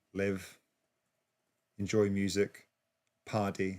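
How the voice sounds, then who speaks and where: A man with an English accent speaks in a fairly low voice. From England. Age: 40s. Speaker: DJ and music producer. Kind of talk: casual livestream chat. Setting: livestream. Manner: halting, many fillers.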